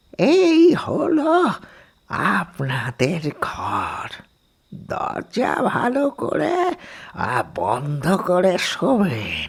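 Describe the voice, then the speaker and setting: A cartoonish character voice at a very slow pace. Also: man, high pitch for a man. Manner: slow, hesitant, rambling.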